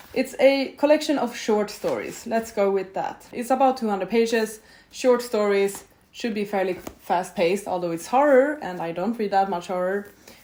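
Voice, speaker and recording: Speaking in a Swedish accent, a woman talks at a moderate pace with a fairly high pitch. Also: ordinary pitch variation. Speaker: booktuber. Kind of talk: casual vlog talk to camera. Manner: casual, conversational with fillers.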